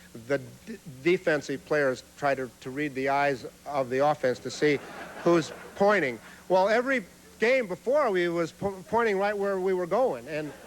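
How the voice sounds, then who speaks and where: A man speaks at a moderate pace, his pitch high and swinging very widely. Background noise is noticeable. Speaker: humorist. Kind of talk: stand-up comedy routine. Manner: stutters.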